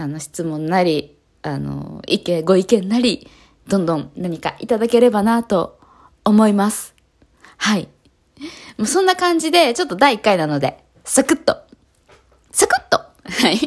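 A woman at a medium pitch speaks with an animated tone, very wide pitch swings and big swings in loudness at a fairly slow pace with long, frequent pauses. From Japan, Kanagawa. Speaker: street dancer and yoga practitioner. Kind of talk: casual solo podcast talk. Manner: animated, frequent laughter; hesitant with fillers.

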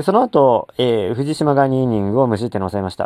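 In a normal speaking voice, a man talks fairly quickly at a medium pitch with lively intonation, the sound dry and close with no echo. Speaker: sports fan podcaster. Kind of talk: solo monologue. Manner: casual, many filler words.

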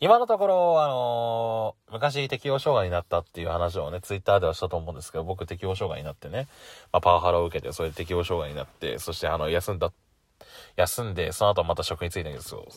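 Very fast speech from a man with big swings in loudness, on a very clean recording with a silent background. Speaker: podcaster. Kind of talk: casual solo talk. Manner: laughs often.

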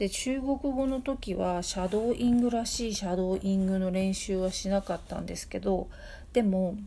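At a moderate pace, a woman speaks at a medium pitch in a dark, mellow, somewhat breathy voice with ordinary pitch variation. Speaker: podcast host, tutor and translator. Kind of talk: casual solo talk answering listener mail. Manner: halting, many fillers.

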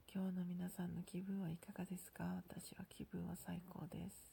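Using a put-on character voice, a woman speaks at a moderate pace in a hoarse, medium-pitched voice with monotone, flat intonation. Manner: cheerful.

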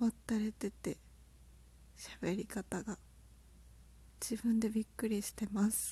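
A soft-spoken woman talks at a fairly slow pace with long, frequent pauses, her pitch fairly high and her intonation monotone and flat. Her tone is dark, mellow and somewhat breathy. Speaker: podcaster and aspiring potter. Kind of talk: casual solo talk.

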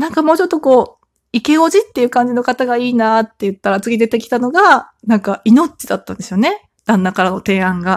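In a dry, close recording with no echo, a woman speaks at a fairly quick pace, her high pitch moving in very wide swings. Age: 30s. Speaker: solo podcaster, mother of three. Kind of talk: casual solo talk. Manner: chatty, filler-heavy.

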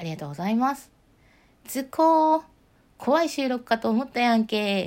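On a very clean recording with a silent background, a woman speaks in a calm tone at a fairly high pitch. Her pitch swings very widely. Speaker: solo podcaster. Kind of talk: solo talk with listener-letter replies.

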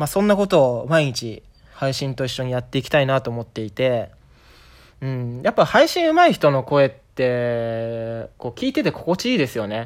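A man talks with ordinary pitch variation in a very clean recording against a silent background. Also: moderate pace. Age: 30s. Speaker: podcaster. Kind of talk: casual solo monologue. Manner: improvised, with frequent fillers.

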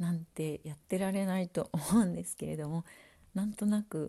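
The voice is somewhat breathy and relaxed, with a dark, mellow tone and ordinary pitch variation. The recording is very clean, with a silent background. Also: woman. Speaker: podcaster. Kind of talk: casual solo talk. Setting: at home. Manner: relaxed, many fillers.

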